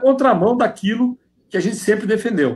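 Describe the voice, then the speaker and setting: The man speaks at a moderate pace. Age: 60s. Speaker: politician. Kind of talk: interview. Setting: video call from home.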